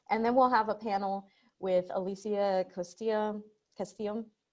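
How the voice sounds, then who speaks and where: A woman uses a normal speaking voice at a moderate speed, her intonation fairly even. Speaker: webinar host. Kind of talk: conference introduction on video call.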